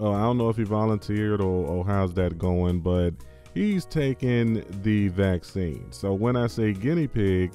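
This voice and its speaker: Over faint background music, a man speaks at a fairly slow pace with fairly low pitch, ordinary pitch variation, very even loudness and a dry sound with no echo. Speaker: crypto and commentary channel host. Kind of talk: casual talk to camera. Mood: sarcastic, wry. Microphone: studio mic.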